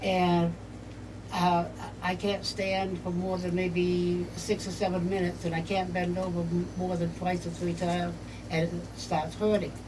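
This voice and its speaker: The woman speaks at a fairly low pitch and a fairly slow pace. Her intonation is monotone and flat, with audible room echo. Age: 70s. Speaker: home care client. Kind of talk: testimony. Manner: halting.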